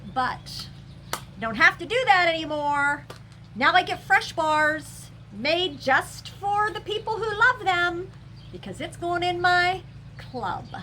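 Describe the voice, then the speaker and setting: A woman speaks at a very slow pace in an extremely high pitch, her raised, projected voice bright and sharp in tone. Her intonation is lively and her loudness swings widely. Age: 60s. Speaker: scented wax reviewer and seller. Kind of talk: casual chat. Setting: home, seated in a glider chair. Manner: animated.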